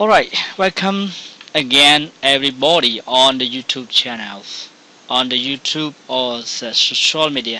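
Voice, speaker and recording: Fairly slow male speech, medium in pitch, with normal rise and fall and clearly audible background noise. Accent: non-native. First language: Khmer. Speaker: English teacher. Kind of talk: tutorial. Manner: halting.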